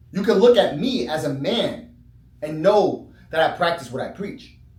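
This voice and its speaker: Audible room echo surrounds a man speaking at a moderate pace. His high pitch makes very wide swings. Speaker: chiropractor. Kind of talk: casual talk. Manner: conversational, filler-heavy.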